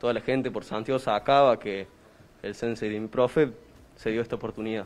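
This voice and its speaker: Here a man talks. He keeps his intonation fairly even. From Córdoba, Argentina. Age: young, 18. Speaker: karate instructor. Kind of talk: interview. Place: gym. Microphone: handheld.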